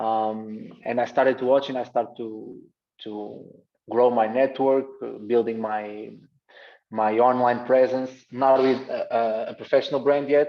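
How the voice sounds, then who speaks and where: A man's medium-pitched voice with a Portuguese accent, fairly slow and monotone, with flat intonation. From Portugal, Gaia. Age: 20s. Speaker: basketball coach. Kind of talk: presentation on video call. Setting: video call. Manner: halting, many repetitions.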